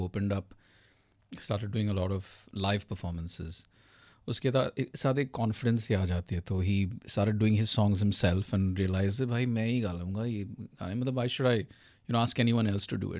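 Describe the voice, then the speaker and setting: Ordinary pitch variation runs through a very clean recording with a silent background. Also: man. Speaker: singer, musician. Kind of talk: interview answer.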